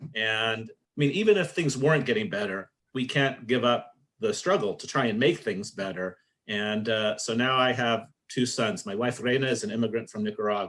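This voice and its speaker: In a Californian accent, a man speaks at a moderate pace with lively intonation. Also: medium pitch for a man, quiet background. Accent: Californian American English. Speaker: social justice advocate, camp alumnus. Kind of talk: interview testimony.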